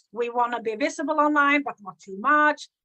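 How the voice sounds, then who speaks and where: A high-pitched woman with a Swedish accent speaks in a raised, projected voice with a bright, sharp tone. Her pace is fairly quick, her pitch varies in an ordinary way, and the sound is dry and close with no echo. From Sweden. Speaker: business coach. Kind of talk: live stream talk. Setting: live video stream.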